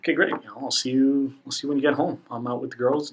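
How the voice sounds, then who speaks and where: This man talks at a fairly quick pace with fairly even intonation. Background noise is noticeable. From Spanish-speaking background. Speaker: podcast guest. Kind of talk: casual chat.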